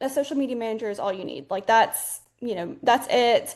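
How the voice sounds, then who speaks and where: A woman's fairly high, fairly quick voice with an Alabama accent and ordinary pitch variation. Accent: Southern US (Alabama). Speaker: social media manager. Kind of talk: casual webinar chat.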